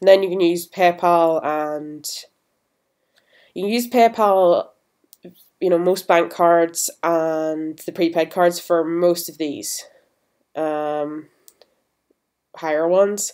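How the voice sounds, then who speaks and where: A woman with a British accent speaks at a very slow pace in a fairly low voice, her loudness swinging widely and her intonation fairly even, with long, frequent pauses on a very clean recording against a silent background. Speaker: gaming YouTuber. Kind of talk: tutorial. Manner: casual.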